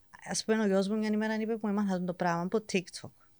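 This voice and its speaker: The intonation is monotone and flat throughout. The recording is very clean, with a silent background. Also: woman. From England. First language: English (speaking Greek). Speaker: teacher. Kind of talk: casual chat.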